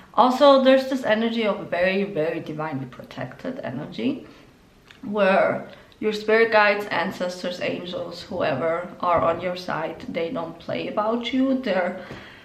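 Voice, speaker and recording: Lively intonation marks a woman's medium-pitched voice, heard with noticeable background noise and audible room echo. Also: moderate pace. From Spain (Galicia). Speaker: tarot reader. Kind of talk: tarot reading. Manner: casual, many filler words.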